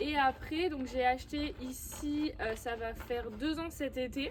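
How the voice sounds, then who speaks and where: A woman's voice, high in pitch. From southwest France, Landes. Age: 20s. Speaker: riding instructor and horse breeder. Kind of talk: casual Q&A vlog. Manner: hesitant, many fillers.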